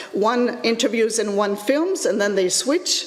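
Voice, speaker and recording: Pitch varies in an ordinary way while noticeable background noise and audible room echo fill the recording. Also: woman. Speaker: educational technology lecturer. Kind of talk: conference presentation. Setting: conference with live audience. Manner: halting, many fillers.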